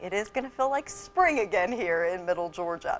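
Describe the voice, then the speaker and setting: A woman talks at a moderate pace with music in the background. Her pitch moves in very wide swings. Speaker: TV weather anchor. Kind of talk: TV weather forecast.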